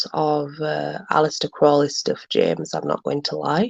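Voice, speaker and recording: A woman speaks with a South Yorkshire accent. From South Yorkshire, Barnsley. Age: 30s. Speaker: livestream host. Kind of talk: casual chat.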